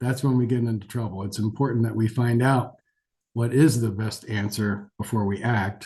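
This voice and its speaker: A man with an American accent talks at a moderate pace and medium pitch, his dark, mellow tone somewhat breathy. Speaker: geriatric physician. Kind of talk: lecture. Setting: webinar. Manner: hesitant, many fillers.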